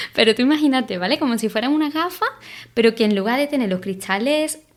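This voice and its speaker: The intonation is lively. The speaker has a Sevillian accent. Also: woman. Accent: Andalusian (Seville). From Spain, Seville. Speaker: podcast host on creativity. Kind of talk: podcast monologue. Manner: animated, gesturing; hesitant, repeats words.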